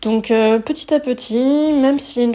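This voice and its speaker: The woman's voice is high in pitch. Her intonation stays fairly even. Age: 30s. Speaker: wellness podcaster. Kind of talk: personal testimony monologue. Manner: reflective, conversational.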